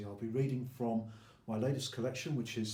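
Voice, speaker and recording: Over noticeable background noise, a man talks at a fairly quick pace in a flat monotone at a medium pitch. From England. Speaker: poet. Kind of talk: introduction to a poetry reading.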